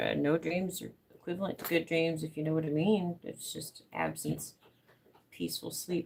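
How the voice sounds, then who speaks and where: The speaker has an American accent and a relaxed tone. The pace is moderate. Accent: Southern US, thickening. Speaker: crafter live streamer. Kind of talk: casual craft live stream. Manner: relaxed, rambling.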